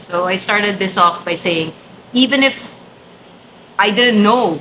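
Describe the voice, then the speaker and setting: Noticeable background noise sits behind a woman speaking at a moderate pace with ordinary pitch variation. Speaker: event host and trainer. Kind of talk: interview conversation. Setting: office studio. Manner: animated.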